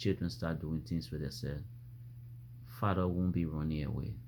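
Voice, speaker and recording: A man's voice with vocal fry at a moderate pace. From Africa. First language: an African language. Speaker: vlogger. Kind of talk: opinion monologue. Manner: repetitive, halting restarts; animated.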